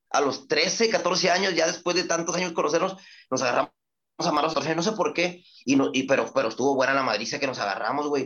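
A man speaks in a plain, everyday voice. His pace is fairly quick and his intonation lively. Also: fairly high pitch for a man. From Reynosa, Tamaulipas, Mexico. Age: 30s. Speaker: rapper. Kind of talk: casual interview.

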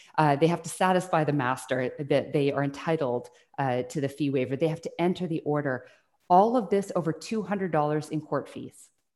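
With a Western Canadian accent, a woman speaks at a very deep, low pitch with ordinary pitch variation. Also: fairly quick pace. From British Columbia, Canada (Burnaby, Salt Spring Island). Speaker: tribunal chair and law professor. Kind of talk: interview.

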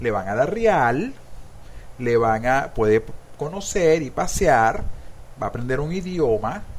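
Speaking at a very slow pace with long, frequent pauses, a man with a Venezuelan accent and a medium pitch swings his pitch very widely. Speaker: podcast host. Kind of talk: casual chat. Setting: studio. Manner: animated.

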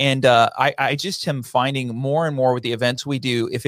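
A man with an American accent talks at a medium pitch. The recording is very clean and dry, close with no echo and a silent background. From Michigan, Grand Rapids. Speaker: production company owner and speaker. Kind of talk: interview. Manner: fast.

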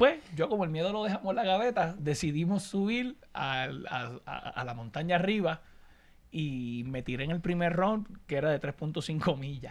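A man talks at a high pitch. His pace is fairly slow. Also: lively intonation. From Puerto Rico (Añasco, west coast). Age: 30s. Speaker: podcast co-host. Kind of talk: casual chat.

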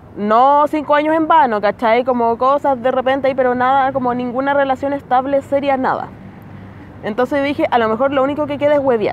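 Amid noticeable background noise, a woman with a Chilean accent talks fairly quickly at a high pitch with fairly even intonation. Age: 20s. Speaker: comedian. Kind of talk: casual chat. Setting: outdoors.

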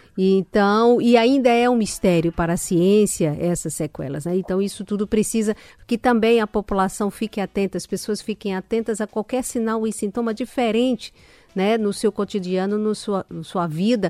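Recorded very cleanly with a silent background and a dry, close sound with no echo, a woman speaks at a moderate pace with medium pitch, a dark, mellow tone and ordinary pitch variation. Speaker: radio health show host. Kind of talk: radio interview.

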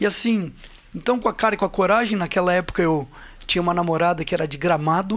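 High-pitched man at a fairly quick pace, with ordinary pitch variation. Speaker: construction company CEO. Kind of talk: interview.

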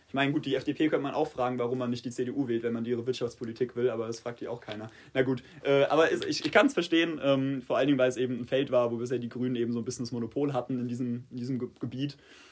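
Speaking at a very fast pace, a man keeps a medium pitch and a fairly even intonation. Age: 20s. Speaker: political candidate. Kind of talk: casual interview.

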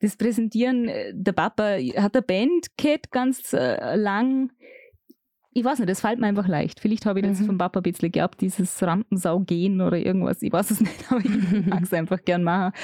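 Dark, mellow tone from a woman at medium pitch, fairly quick, with ordinary pitch variation, very even loudness and a dry, close sound with no echo. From Austria, Vorarlberg (Bregenzerwald). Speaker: radio and event presenter. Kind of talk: casual interview chat.

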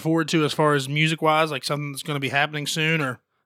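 Very fast and fairly high-pitched, a man's voice comes through in a bright, sharp tone on a very clean recording with a silent background. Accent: American. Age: 20s. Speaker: podcast host and musician. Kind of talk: casual chat. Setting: studio.

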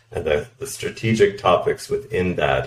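Someone with a Canadian accent talks at a moderate pace over noticeable background noise. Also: man. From Canada. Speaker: product director. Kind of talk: interview.

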